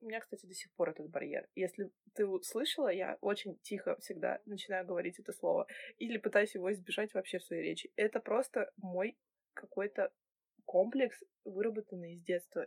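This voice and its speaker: A woman at a moderate pace, with big swings in loudness and a dry, close sound with no echo. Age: 20s. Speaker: podcast co-host. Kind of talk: casual chat.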